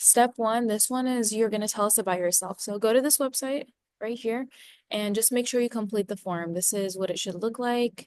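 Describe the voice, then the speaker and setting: In a dry, close sound with no echo, a woman speaks with a fairly high pitch and fairly even intonation. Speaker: college outreach staff. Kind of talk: tutorial. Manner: fast.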